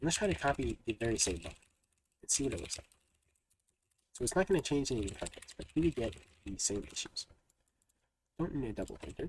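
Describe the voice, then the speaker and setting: Full of vocal fry, the voice races along at a very fast pace with very wide pitch swings and long, frequent pauses. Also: man, medium pitch for a man. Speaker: programming streamer. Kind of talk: live coding stream, chatting with viewers. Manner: casual, many fillers.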